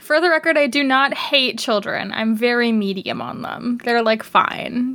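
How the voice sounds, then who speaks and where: Amid noticeable background noise, a woman with a Canadian accent speaks at a fairly slow pace in a high pitch, with ordinary pitch variation. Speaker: podcast co-host. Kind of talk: casual chat.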